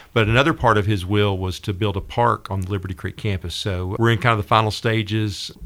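A man with a Southern US accent talks at a very fast pace in a fairly low pitch, with hardly any pauses. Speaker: school district director. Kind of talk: casual interview. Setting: studio.

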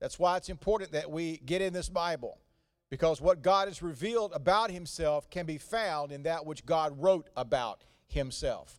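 This man has a high-pitched voice with ordinary pitch variation. He talks at a moderate pace, and his loudness swings widely. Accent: Southern US. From North Carolina. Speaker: visiting pastor. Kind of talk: sermon. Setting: church.

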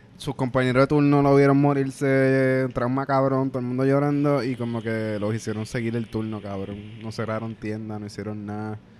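With a Puerto Rican accent, a man talks with fairly even intonation and hardly any pauses. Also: medium pitch for a man, moderate pace. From Puerto Rico. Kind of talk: casual chat.

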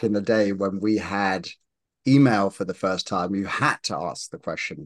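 A man with a British accent speaks at a fairly slow pace. The sound is dry and close with no echo, over a quiet background. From UK. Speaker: marketing executive and investor. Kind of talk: interview conversation. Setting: video call.

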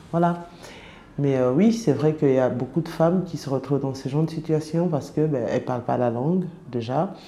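Over noticeable background noise, a woman talks in a very deep, low pitch with ordinary pitch variation. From francophone country abroad. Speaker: former sex worker. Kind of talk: personal testimony. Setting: around a table in an office. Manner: halting, many hesitations.

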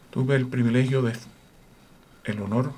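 Audible room echo surrounds the speaker. He is a man with a medium-pitched voice. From Puerto Rico. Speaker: orchestra conductor and horn player. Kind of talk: radio interview. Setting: radio studio.

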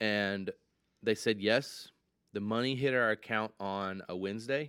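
A man with an American accent, bright, sharp tone, fairly even intonation and fairly slow pace, on a very clean recording with a silent background. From Michigan. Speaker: ice cream business owner. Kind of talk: interview conversation.

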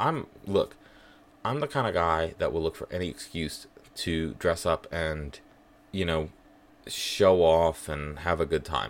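This man has a very deep, low pitch and an American accent. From northern US. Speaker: podcast host. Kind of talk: casual monologue. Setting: home kitchen.

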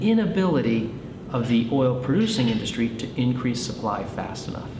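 There is noticeable background noise behind this recording. A man speaks at a medium pitch. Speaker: energy investment analyst. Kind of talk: interview.

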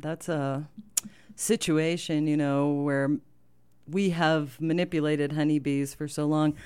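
A woman speaks with an American accent in a very deep, low pitch, her tone dark and mellow. She talks at a fairly slow pace on a very clean recording with a silent background. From US Midwest, rural Illinois. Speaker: farmer. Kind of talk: radio interview. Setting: radio studio.

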